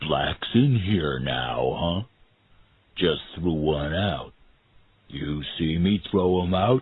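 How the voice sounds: A man uses a put-on character voice, very deep and low, with lively intonation. He speaks quietly and very slowly, with long, frequent pauses.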